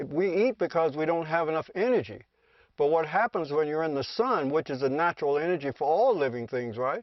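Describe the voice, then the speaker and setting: A man with an unremarkable speaking voice talks fairly quickly at a fairly high pitch, his intonation lively. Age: 60s. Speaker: sungazer and studio owner. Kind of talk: documentary interview.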